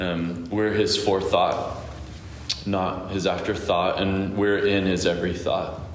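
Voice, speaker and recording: Noticeable background noise sits under this recording. A man speaks at a fairly slow pace. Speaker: church pastor and host. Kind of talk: scripture reading and introduction.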